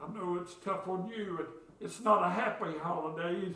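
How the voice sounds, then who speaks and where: A man with a high voice talks at a fairly slow pace. The room echo is audible. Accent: Appalachian. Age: 60s. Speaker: pastor. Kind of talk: sermon. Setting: church.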